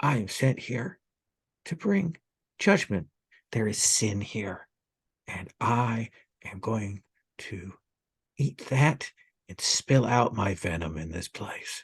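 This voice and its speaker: In a raspy, put-on character voice at a medium pitch, a man speaks at a very slow pace with lively intonation, big swings in loudness and long, frequent pauses, and the sound is dry and close with no echo. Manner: menacing, judgmental.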